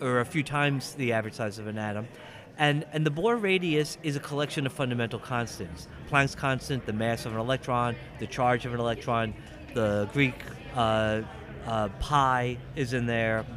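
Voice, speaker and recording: Music plays in the background as a man talks at a moderate pace, medium in pitch, with ordinary pitch variation. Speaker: physics professor and convention guest of honor. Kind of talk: interview.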